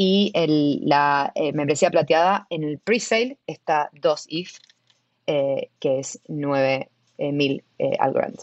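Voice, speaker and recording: At a very slow pace, a woman talks with an Argentine accent. Her pitch is very deep and low, with ordinary pitch variation. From Argentina. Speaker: tech product manager at a web3 startup. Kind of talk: interview.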